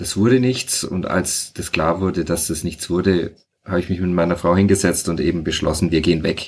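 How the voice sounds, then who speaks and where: At a moderate pace, a man with a very deep, low voice speaks with fairly even intonation. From Franconia, Bavaria (rural). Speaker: sociologist and author. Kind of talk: casual interview.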